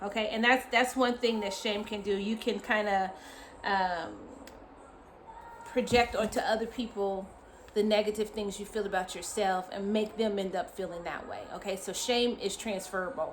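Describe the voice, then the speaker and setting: A woman speaks in a normal speaking voice, fairly high-pitched, at a moderate pace with fairly even intonation. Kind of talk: casual teaching talk to camera. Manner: frequent fillers (um, uh).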